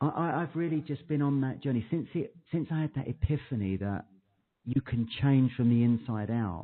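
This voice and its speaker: At a moderate pace, a man with a British accent speaks at a medium pitch. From UK. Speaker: clinical hypnotherapist. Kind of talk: interview. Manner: monotone at times. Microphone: echo on the line.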